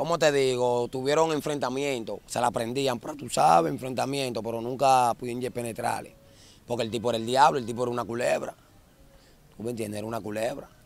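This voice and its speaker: A man's normal speaking voice at medium pitch with ordinary pitch variation, dry with no echo. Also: fairly quick pace. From Dominican Republic, Santo Domingo (La Ciénaga / Guachupita); Dominican Republic. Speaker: former gang member turned musician; interviewee. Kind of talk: casual interview on a neighborhood walking tour. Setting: outdoors in narrow alleys. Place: street. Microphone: handheld.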